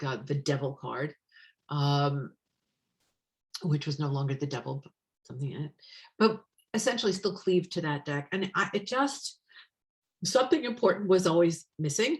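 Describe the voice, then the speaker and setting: A woman's somewhat breathy voice, very deep and low in pitch, broken by long, frequent pauses. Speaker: tarot deck author and witch teacher. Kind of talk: online presentation.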